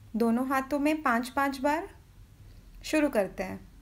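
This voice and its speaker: A woman's high-pitched voice. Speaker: exercise instructor. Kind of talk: exercise instruction. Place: home room. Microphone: camera far.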